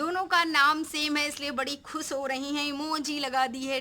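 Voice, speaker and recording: In a raised, projected voice, a woman speaks at a high pitch with a bright, sharp tone and fairly even intonation. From Uttar Pradesh, Raebareli. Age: 20s. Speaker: vlogger. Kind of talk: Q&A vlog answering viewer comments. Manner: casual and chatty, with fillers.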